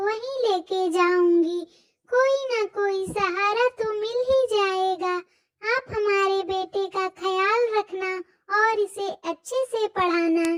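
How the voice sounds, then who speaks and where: A squeaky, cartoonish character voice at a very slow pace. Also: woman. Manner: pleading.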